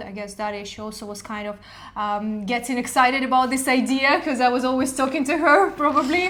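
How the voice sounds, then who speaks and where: A woman's high-pitched voice at a fairly quick pace, with ordinary pitch variation, noticeable background noise and audible room echo. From Ukraine. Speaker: podcast co-host. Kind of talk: casual chat.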